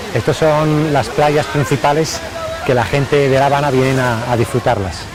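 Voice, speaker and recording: A man speaks at a fairly high pitch with ordinary pitch variation. Audible room echo and crowd noise fill the background. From Spain, Aragon (Broto, Pyrenees). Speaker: Spanish expat, former UN worker. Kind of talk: interview. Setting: outdoors on location. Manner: halting, frequent repetitions.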